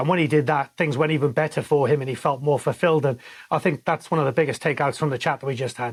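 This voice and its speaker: A man's fairly high, somewhat breathy voice with a Welsh accent, very fast pace and fairly even intonation. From Wales. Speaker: podcast co-host, former sports journalist. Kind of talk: casual interview chat.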